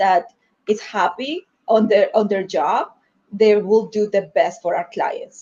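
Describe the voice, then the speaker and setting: Her pitch runs fairly high. This woman talks with a Spanish accent. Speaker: marketing executive. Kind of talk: panel discussion. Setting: livestream video call. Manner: halting.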